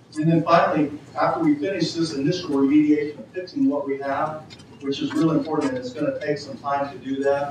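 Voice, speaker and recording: Speaking at a fairly quick pace with fairly even intonation, a man with a fairly high pitch is heard over noticeable background noise and audible room echo. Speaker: cybersecurity panelist. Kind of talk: panel presentation. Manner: fast.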